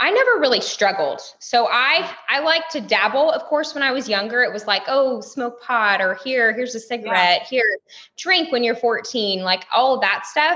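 With a Texas accent, the speaker moves at a moderate pace with hardly any pauses. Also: woman, high pitch for a woman. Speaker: stay-at-home mom and businesswoman. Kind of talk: casual interview chat.

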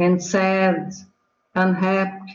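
A woman speaks at a medium pitch, somewhat breathy. Audible room echo surrounds her voice. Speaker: English student. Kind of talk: reading aloud. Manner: halting.

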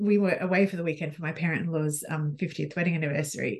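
A woman with a plain, everyday voice, fairly low in pitch, with fairly even intonation. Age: 40s. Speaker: business coach for midlife women. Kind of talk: casual interview chat.

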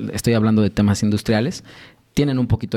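In a Mexico City accent, a man speaks with a fairly low pitch, a dark, mellow tone and fairly even intonation. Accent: Mexican Spanish (Mexico City). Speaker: sommelier and brewery co-founder. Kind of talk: casual interview with tasting. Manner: hesitant, many fillers.

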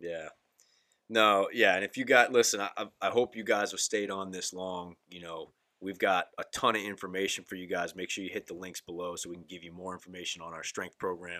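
A man's very deep, low voice with a bright, sharp tone, fairly even intonation and big swings in loudness. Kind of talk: casual chat. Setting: studio.

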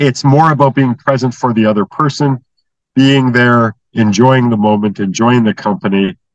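In a plain, everyday voice, a man speaks at a moderate pace and medium pitch with ordinary pitch variation, and the sound is dry and close with no echo. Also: very even loudness. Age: 60s. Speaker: inventor of brainwave entrainment method. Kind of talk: interview.

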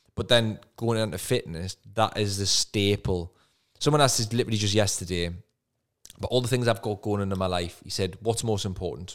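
Here a man talks at a fairly quick pace in a Geordie accent. The recording is very clean, with a silent background. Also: fairly low pitch for a man, ordinary pitch variation. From northern England, Newcastle. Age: 30s. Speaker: property investor and coach. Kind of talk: podcast interview.

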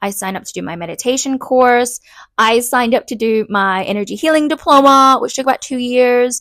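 On a very clean recording with a silent background, a woman with an English accent speaks high and fairly quickly, with ordinary pitch variation and big swings in loudness. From England. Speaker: podcast host and past life regression therapist. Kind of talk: solo podcast monologue.

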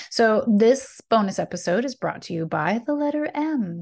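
A woman's plain, everyday voice, moderate in pace with lively intonation, against a quiet background. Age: 40s. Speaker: podcast host and spiritual wellness coach. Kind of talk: solo channeled spiritual talk. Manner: casual with frequent fillers and laughs.

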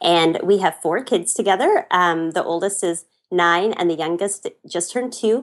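In an ordinary speaking voice, a woman with a Canadian accent talks at a medium pitch and a moderate pace, with ordinary pitch variation. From western Canada. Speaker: blogger and traveler. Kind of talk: casual interview chat.

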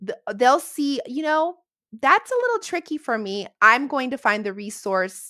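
A raised, projected voice with a bright, sharp tone and very wide pitch swings, dry and close with no echo, on a very clean recording with a silent background. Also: woman, high pitch for a woman, moderate pace. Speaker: reading educator and homeschooling mom. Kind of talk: interview, explaining. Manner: halting with many fillers; positive, uplifting.

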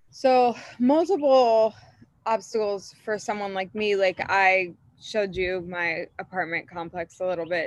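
An unremarkable speaking voice from a woman with an American accent, medium in pitch, at a fairly slow pace with ordinary pitch variation. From Florida. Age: 30s. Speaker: salon owner. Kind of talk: casual interview chat.

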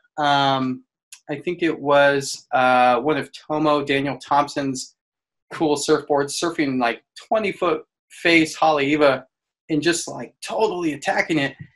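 With fairly even intonation, a normal speaking voice proceeds at a fairly slow pace. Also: man, fairly high pitch for a man. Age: 30s. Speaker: physical therapist. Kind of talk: casual chat. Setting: video call.

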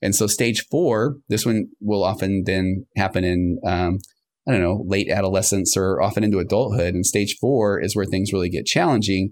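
Delivered in a normal speaking voice, the speech has very even loudness and fairly even intonation, in a very clean recording with a silent background. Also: man, fairly low pitch for a man, moderate pace. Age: 50s. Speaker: marriage and family therapist. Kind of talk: casual interview.

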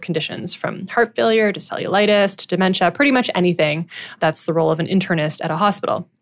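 A woman with a Canadian accent and an unremarkable speaking voice talks at a fairly quick pace, at a medium pitch with ordinary pitch variation. The recording is very clean, with a silent background. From Ottawa, Ontario, Canada. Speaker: physician and podcast host. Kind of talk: scripted monologue.

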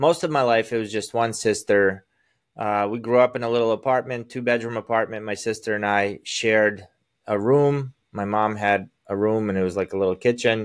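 A man with an American accent and a plain, everyday voice speaks at a medium pitch and moderate pace, with fairly even intonation, over a quiet background. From Azerbaijan, then US from age ten. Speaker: sales coach. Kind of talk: casual chat.

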